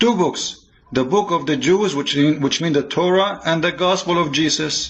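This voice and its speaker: Delivered at a moderate pace, the speech carries a non-native accent and ordinary pitch variation. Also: man. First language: not English. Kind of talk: polemical religious monologue. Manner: animated; halting, repeats words.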